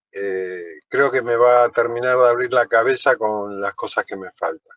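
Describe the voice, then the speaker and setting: This is an ordinary speaking voice from a man at medium pitch. He talks at a fairly slow pace with ordinary pitch variation. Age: 60s. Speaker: truck driver, course student. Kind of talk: self-introduction in online class. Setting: video call from parked truck on highway.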